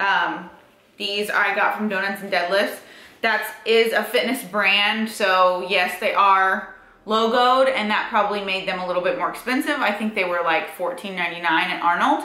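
Her voice carries noticeable echo from the room. Its pitch moves in an ordinary way. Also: moderate pace. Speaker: fitness vlogger. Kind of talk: casual vlog chat. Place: home room. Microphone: camera far.

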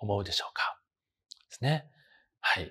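A man speaks in a somewhat breathy voice. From Osaka, Japan. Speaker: university professor. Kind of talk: lecture. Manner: formal. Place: classroom. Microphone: lapel.

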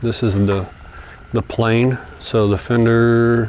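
A man speaks in a flat monotone against light background noise. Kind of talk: tutorial. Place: workshop.

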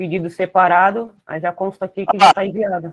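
Moderate pace against a quiet background. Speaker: online seller in the group. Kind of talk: casual chat. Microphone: video call.

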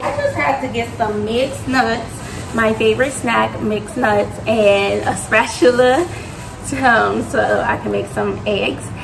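With music in the background, a woman speaks at a very slow pace. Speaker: mother vlogger. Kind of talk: casual vlog chat. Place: kitchen. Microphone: phone near.

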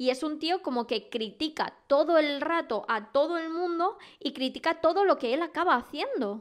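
Hardly pausing, a woman speaks at a moderate pace in an animated tone, her high pitch moving with lively intonation. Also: very clean recording, silent background. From Spain. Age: 20s. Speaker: podcast host. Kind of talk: casual solo podcast monologue.

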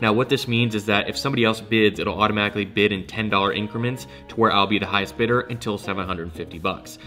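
A man with a fairly low pitch talks at a very fast pace with hardly any pauses and ordinary pitch variation. Faint music plays in the background. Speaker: sneaker reseller vlogger. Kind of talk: casual vlog chat. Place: home room.

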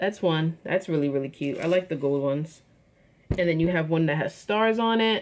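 Over light background noise, a woman with a fairly low pitch speaks at a moderate pace with lively intonation. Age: 20s. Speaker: YouTuber, product reviewer and college student. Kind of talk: casual product review vlog. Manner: animated. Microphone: phone near.

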